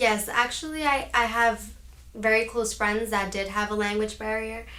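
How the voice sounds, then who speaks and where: With a New Jersey accent, the speaker keeps a moderate pace and fairly even intonation, with audible room echo in the recording. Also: woman, fairly high pitch for a woman. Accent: New Jersey American. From Union City, New Jersey. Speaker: former honor student. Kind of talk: interview.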